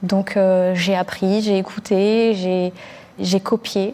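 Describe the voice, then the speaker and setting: Flat, monotone intonation from a woman at a medium pitch. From Algeria (Blida), moved to France at eight. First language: Algerian Arabic (darija) (speaking French). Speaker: journalist. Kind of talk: panel discussion. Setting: recorded online conference. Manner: conversational with frequent hesitations.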